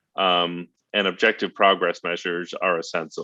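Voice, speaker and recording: This man's voice sits very deep and low. His intonation stays monotone and flat. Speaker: policy working group leader. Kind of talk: meeting briefing. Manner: halting with many fillers.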